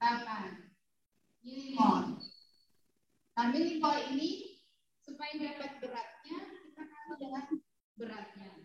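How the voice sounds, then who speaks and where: A woman with a high pitch speaks at a fairly slow pace, with long, frequent pauses, big swings in loudness and audible room echo. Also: ordinary pitch variation. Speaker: university lecturer. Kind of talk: lecture.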